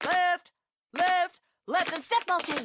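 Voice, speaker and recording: An extremely high-pitched, put-on character voice. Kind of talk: loud, clipped. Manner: barking, commanding.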